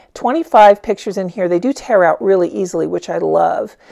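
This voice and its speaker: The background stays quiet. A woman talks at a moderate speed. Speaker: art instructor. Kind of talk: product review tutorial.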